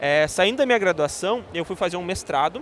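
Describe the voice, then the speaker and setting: The speaker talks at a fairly quick pace with a southern Brazilian accent. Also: man. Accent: gaúcho Brazilian Portuguese. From southern Brazil, Rio Grande do Sul (Santa Maria). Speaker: tech education analyst. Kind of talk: podcast interview. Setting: live event podcast set. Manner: hesitant, many filler sounds.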